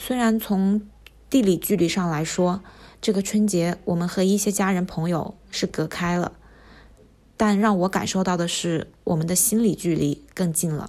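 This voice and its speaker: Over a silent background in a very clean recording, a woman speaks at a moderate pace with a dark, mellow tone. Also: medium pitch for a woman, fairly even intonation. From Wuhan, China. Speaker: medical company employee and diary contributor. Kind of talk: reading a personal diary aloud.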